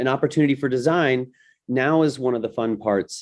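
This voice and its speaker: Against a quiet background, a man talks at a moderate pace in a plain, everyday voice with ordinary pitch variation. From United States. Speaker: design thinking educator. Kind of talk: webinar presentation.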